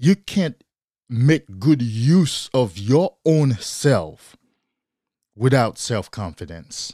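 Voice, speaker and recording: With a non-native accent and a dark, mellow tone, a man speaks at a medium pitch and a very slow pace, taking very wide pitch swings and long, frequent pauses. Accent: non-native accent, English as third language. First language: not English. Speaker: podcast host, motivational speaker. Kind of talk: solo motivational talk. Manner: earnest, repetitive, motivational.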